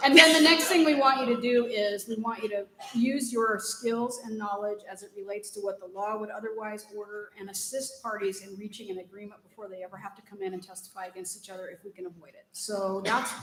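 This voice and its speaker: A very fast pace with hardly any pauses, big swings in loudness, and audible room echo. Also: woman, fairly high pitch for a woman, ordinary pitch variation. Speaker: judge. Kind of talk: conference panel answer.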